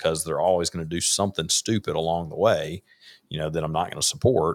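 A man with a Mississippi accent, a very deep, low pitch and fairly even intonation at a very fast pace, in a dry, close sound with no echo and a very clean recording with a silent background. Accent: US Southern (Mississippi). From Mississippi, Rankin County. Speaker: conservative political advocate. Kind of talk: casual chat. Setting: livestream.

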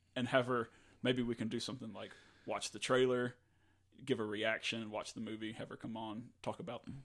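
Fairly quick in pace, a man talks in a normal speaking voice with an American accent. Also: very clean recording, silent background. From US South, North Louisiana. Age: 30s. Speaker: podcast co-host, graphic designer. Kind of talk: casual chat.

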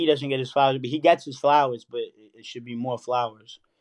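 A man with a fairly high pitch speaks in a New York accent, his intonation monotone and flat. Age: 30s. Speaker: rapper. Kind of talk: casual chat.

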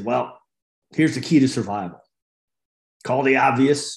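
A raspy put-on character voice at a moderate pace, with ordinary pitch variation. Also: man, medium pitch for a man.

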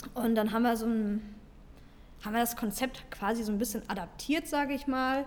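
This woman talks at a fairly quick pace, leaving long, frequent pauses. Her pitch is fairly high and varies in an ordinary way. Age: 30s. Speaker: fitness podcast co-host, fitness trainer. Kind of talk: casual chat.

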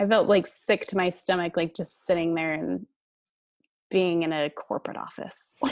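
A woman's plain, everyday voice, fairly low in pitch, with fairly even intonation, an American accent and a quiet background. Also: moderate pace. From Colorado. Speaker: franchise studio owner. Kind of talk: interview.

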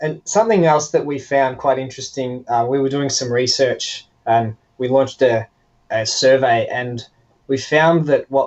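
Speaking at a moderate pace, a man uses a plain, everyday voice at a medium pitch with ordinary pitch variation. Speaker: startup founder. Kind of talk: casual interview.

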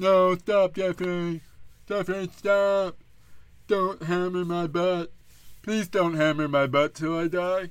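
A man uses a put-on character voice with a high pitch, speaking fairly slowly with long, frequent pauses. The recording is very clean, with a silent background. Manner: mock pleading, comedic.

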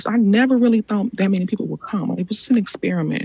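A woman with an American accent speaks in a dark, mellow tone that is somewhat breathy. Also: dry, close sound with no echo. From Chicago, US Midwest. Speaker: artist and rest activist. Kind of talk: interview conversation.

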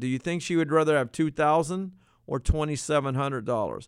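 This man has a plain, everyday voice, fairly high in pitch, with an American accent. His pitch varies in an ordinary way, and the recording is very clean with a silent background. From Virginia, US. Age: 60s. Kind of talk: educational monologue.

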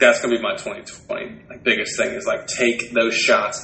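A man speaks fairly slowly amid noticeable background noise and audible room echo. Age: 20s. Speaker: podcast co-host and retail district manager. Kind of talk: casual chat.

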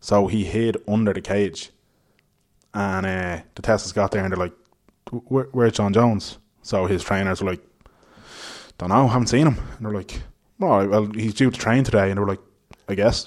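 Long, frequent pauses from a man with a fairly low pitch and an Irish accent, on a very clean recording with a silent background. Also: fairly even intonation, moderate pace. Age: 20s. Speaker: podcast host. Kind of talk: casual chat. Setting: hotel room.

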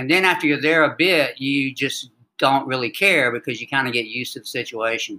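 A man speaks with a Southern accent in a bright, sharp tone. His pitch is fairly high with ordinary pitch variation, and his pace is fairly quick. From US South, North Carolina (Wilmington). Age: 60s. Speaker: army veteran and yoga practitioner. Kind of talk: interview.

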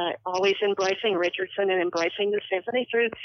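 Noticeable background noise sits under this woman's fairly quick speech. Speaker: longtime orchestra patron.

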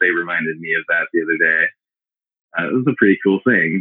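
This is a man speaking. He has an American accent. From US South (Memphis, Tennessee). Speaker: gallery founder and curator. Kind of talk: interview.

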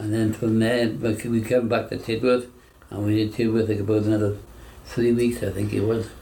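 A man with a South Wales Valleys accent speaks in a dark, mellow, somewhat breathy tone at medium pitch. His intonation is monotone and flat, with audible room echo around him. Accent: Welsh valleys English. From York, raised in south Wales valleys. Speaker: war veteran. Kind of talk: oral history interview. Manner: halting.

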